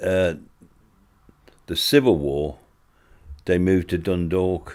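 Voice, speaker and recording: With a Dublin accent, a man speaks at a fairly slow pace in a very deep, low pitch with ordinary pitch variation. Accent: Irish (Dublin). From Ireland, Dublin. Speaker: oral history interviewee. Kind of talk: oral history interview. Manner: hesitant, many fillers.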